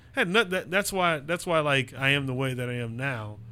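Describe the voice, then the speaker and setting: Medium in pitch, the man's voice has a bright, sharp tone. He moves along at a fairly quick pace with ordinary pitch variation. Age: 20s. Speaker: valet. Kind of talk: casual chat.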